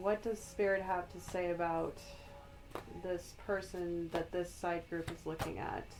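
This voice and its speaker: Over music in the background, a woman talks at a fairly slow pace in a fairly low, monotone, flat voice. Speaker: tarot reader, spiritual guide. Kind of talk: ASMR tarot reading for the collective.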